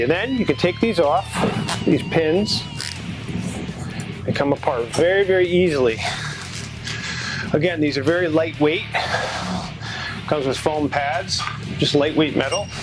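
A man's moderate-paced speech has music in the background. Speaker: fitness demonstrator. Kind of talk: tutorial. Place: gym.

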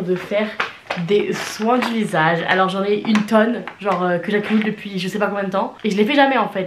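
With noticeable background noise, a woman speaks in fairly even intonation. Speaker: beauty vlogger. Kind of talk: casual vlog chat. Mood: relaxed, cheerful. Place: home room. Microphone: camera far.

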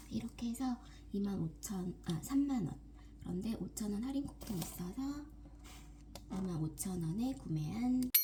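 A whispering woman at a fairly slow pace, with long, frequent pauses and noticeable background noise. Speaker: homemaker vlogger. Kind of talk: casual vlog narration. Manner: halting.

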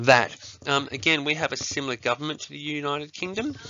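Through noticeable background noise, a man with an Australian accent talks at a very fast pace in a medium pitch. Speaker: primary school teacher. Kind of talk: lesson tutorial to students. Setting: recorded video lesson. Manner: casual, with many fillers.

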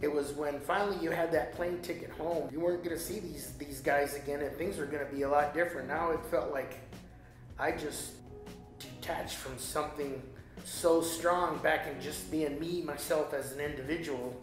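A man at a moderate pace, with fairly even intonation, clear music in the background and audible room echo. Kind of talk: interview answer. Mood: reflective, somewhat emotional. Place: home room.

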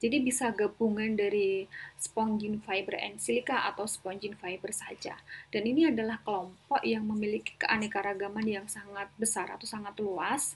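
A somewhat breathy woman at a fairly high pitch and moderate pace. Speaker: biology teacher. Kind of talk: lecture. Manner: mixes Indonesian and English.

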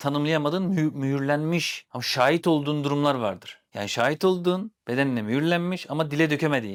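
A man's very fast, fairly high voice with ordinary pitch variation, on a very clean recording with a silent background. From Turkey, Sivas. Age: 40s. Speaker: therapist. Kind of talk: casual chat.

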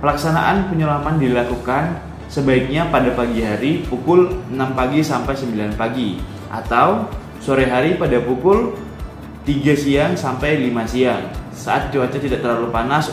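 Clear music plays in the background, and the room echo is audible. The speech moves at a moderate pace with ordinary pitch variation. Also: man. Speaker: presenter. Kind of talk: lecture. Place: home room. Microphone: webcam.

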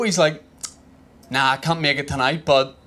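Talking at a fairly quick pace, a man with a Northern Irish accent uses ordinary pitch variation. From Northern Ireland. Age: 30s. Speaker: stand-up comedian. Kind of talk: stand-up comedy set. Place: stage. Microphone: handheld.

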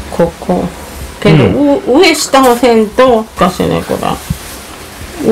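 A woman speaks at a moderate pace with very wide pitch swings. Light background noise sits behind her. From Kochi, Japan. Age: old. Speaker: grandmother sewing. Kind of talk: casual talk while sewing. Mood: relaxed, mildly grumbling. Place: home room. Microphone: phone near.

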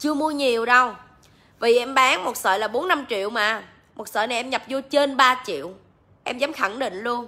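Her voice is high-pitched with a bright, sharp tone, ordinary pitch variation, and a moderate pace. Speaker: livestream seller. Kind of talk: casual livestream chat. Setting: live stream online. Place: shop. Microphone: phone near.

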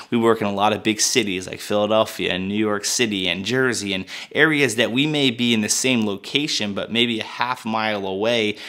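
Over a quiet background, a man talks at a very fast pace with a bright, sharp tone. His pitch is fairly low, with ordinary variation. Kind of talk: product review talk. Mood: upbeat, enthusiastic. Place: studio.

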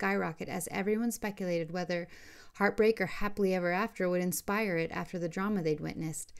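A natural voice, reading aloud

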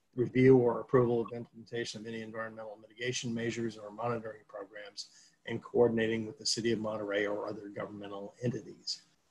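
Flat and monotone, a man talks at a very fast pace. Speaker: legal counsel; public presenter. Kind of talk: public board meeting. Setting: video call. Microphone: video call.

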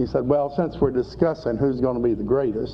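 A man's fairly even intonation over light background noise. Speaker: preacher teaching scripture. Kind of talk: sermon. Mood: calm, slightly wry. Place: studio. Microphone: old recording.

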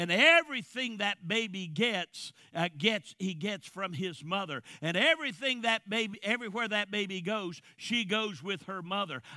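Raised and projected, the voice has a bright, sharp, animated tone, hardly any pauses, a dry sound with no echo and a quiet background. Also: man, high pitch for a man, moderate pace. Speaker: preacher. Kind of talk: sermon. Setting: church. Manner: forceful. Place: church. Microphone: headset.

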